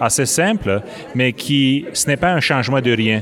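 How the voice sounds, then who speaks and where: Over crowd noise in the background, a man speaks at a medium pitch with a Romanian accent. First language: Romanian (speaking French). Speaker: business executive. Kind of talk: interview. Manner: hesitant, many fillers.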